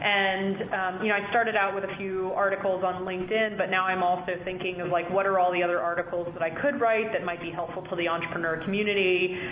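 With hardly any pauses, a woman with an American accent speaks at a very fast pace and a medium pitch in monotone, flat intonation over noticeable background noise. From South Carolina. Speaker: angel investor. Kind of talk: interview. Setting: phone call.

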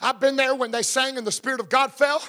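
Speaking very fast in an American accent, a man with an extremely high pitch projects a raised voice with a bright, sharp tone, recorded dry and close with no echo. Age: 50s. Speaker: pastor. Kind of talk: sermon. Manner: animated.

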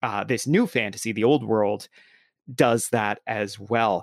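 This man's voice sits at a medium pitch. It rises and falls in an ordinary way. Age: 30s. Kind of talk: casual chat.

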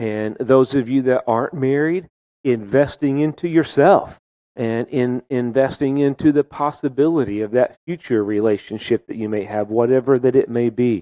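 A man's medium-pitched, moderately paced delivery with ordinary pitch variation, an ordinary speaking voice. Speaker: pastor. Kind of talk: sermon.

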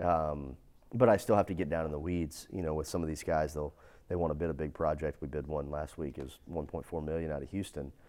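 A man with a very deep, low pitch and a dark, mellow tone talks at a very fast pace with fairly even intonation. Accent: East Texas. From East Texas. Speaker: fire protection business executive and entrepreneur. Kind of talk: interview conversation.

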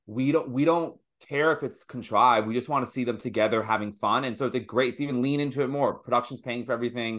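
Barely pausing, a man with an American accent and a medium pitch races along at a very fast pace over a quiet background. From US, Washington D.C. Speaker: comedian and late night show host. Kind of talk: casual chat. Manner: animated.

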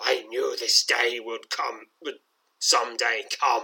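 A man in a put-on character voice growls very slowly, his voice raspy. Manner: snarling.

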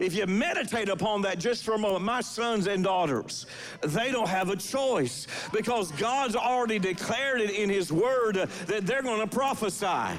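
A man with a high voice speaks at a moderate pace with lively intonation and few pauses, and the room echo is audible.

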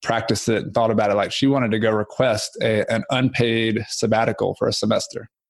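With a fairly quick pace and fairly even intonation, a man talks at medium pitch in an ordinary speaking voice. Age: 30s. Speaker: real estate investor and author. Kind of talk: casual chat.

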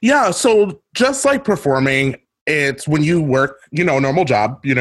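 Using a normal speaking voice, a man talks at a fairly slow pace with lively intonation. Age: 30s. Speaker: drag queen and podcaster. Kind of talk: casual interview chat.

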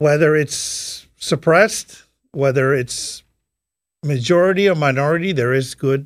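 The speaker, with a non-native accent, leaves long, frequent pauses and uses ordinary pitch variation. The recording is very clean, with a silent background. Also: man, fairly high pitch for a man, moderate pace. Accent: foreign. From Saudi Arabia, Iranian-Pakistani family. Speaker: military interpreter and businessman. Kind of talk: interview conversation.

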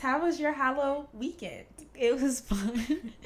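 A woman talks at a fairly slow pace, animated in tone and lively in intonation. Noticeable background noise runs under her voice. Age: 20s. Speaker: podcast co-host. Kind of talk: casual chat.

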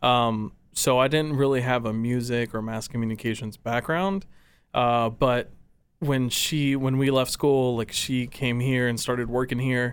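On a very clean recording with a silent background, a man with an American accent and a normal speaking voice talks fairly slowly at a medium pitch with fairly even intonation. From Texas, Dallas area (Farmers Branch). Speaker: radio and video producer. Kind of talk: casual interview.

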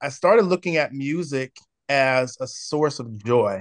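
A man with an American accent talks at a fairly slow pace and a medium pitch, with ordinary pitch variation, in an unremarkable speaking voice. The sound is dry and close with no echo, over a quiet background. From San Diego, California. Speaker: worship pastor. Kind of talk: casual chat.

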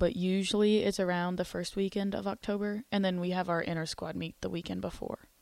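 Speaking very fast in a flat monotone, a woman with a slight Texan accent has a medium pitch, recorded very cleanly against a silent background. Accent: Southern Texan twang, slight. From Texas. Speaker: radio host. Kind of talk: casual radio chat. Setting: studio.

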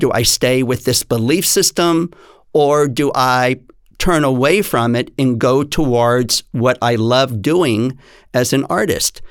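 A man speaks at a very slow pace, his pitch medium with ordinary variation. His loudness stays very even, and the recording is very clean with a silent background. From Texas. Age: 60s. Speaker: dance teacher. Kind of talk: interview.

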